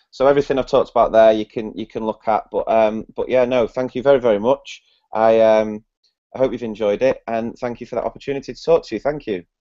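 A man speaks at a very fast pace in a Mancunian accent, his tone dark and mellow. His intonation stays monotone and flat over a quiet background. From northern England. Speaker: primary school teacher. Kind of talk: educational presentation. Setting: video call. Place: home room. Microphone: video call.

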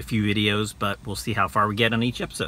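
The voice has vocal fry and a bright, sharp tone. It moves at a fairly quick pace over light background noise. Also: man, dry sound with no echo. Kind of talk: casual vlog chat. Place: car. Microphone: phone near.

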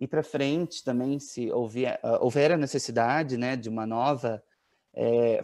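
A man's fairly high voice with ordinary pitch variation, over a quiet background. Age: 20s. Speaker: family member of a missing child, giving testimony. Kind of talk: tearful, grieving testimony about his missing brother and late father. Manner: emotional, halting, voice breaking with sorrow. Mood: earnest, sorrowful. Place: home room. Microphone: earbuds.

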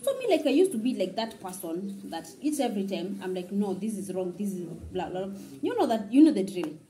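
A woman's medium-pitched voice with a dark, mellow tone, big pitch swings and a fairly quick pace, plus audible room echo

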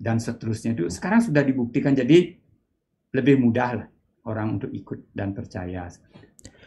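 A man speaks in a dark, mellow tone over light background noise. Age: 60s. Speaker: meditation teacher; meditation teacher, guest. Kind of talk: interview. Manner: halting. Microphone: video call.

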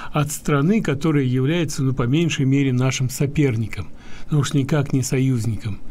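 A man's fairly high voice comes across somewhat breathy, with a dark, mellow tone. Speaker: radio host. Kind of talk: radio talk show. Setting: studio. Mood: critical, calm. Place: home room.

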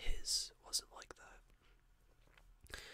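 A man is whispering. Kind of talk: casual vlog chat, retelling a story. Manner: soft, hushed ASMR storytelling voice. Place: home room. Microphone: webcam.

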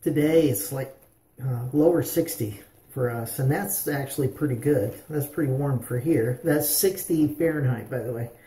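Audible room echo surrounds a man speaking at a fairly slow pace. His tone is dark and mellow, and somewhat breathy. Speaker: shaving vlogger. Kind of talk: casual vlog chat. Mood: relaxed, friendly. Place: bathroom. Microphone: phone near.

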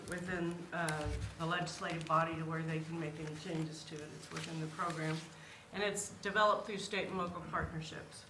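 A woman's voice with noticeable background noise behind it. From Kansas. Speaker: state tourism program manager. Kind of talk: presentation. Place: meeting room.

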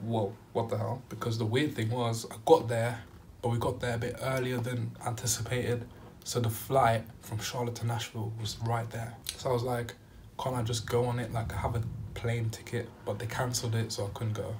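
Against light background noise, a man speaks at a moderate pace in a monotone, flat intonation. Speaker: vlogger. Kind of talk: casual storytime vlog chat. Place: home room. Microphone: phone near.

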